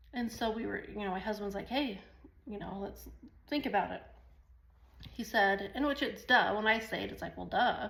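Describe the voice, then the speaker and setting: A woman's fairly high, animated voice with vocal fry, ordinary pitch variation, long and frequent pauses, and audible room echo. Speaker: online business vlogger. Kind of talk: casual talk to camera. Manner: fast; rambling, animated.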